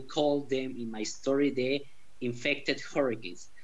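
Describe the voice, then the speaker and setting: Someone with a Spanish accent speaks at a moderate pace, with audible room echo. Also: man. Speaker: author. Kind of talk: interview.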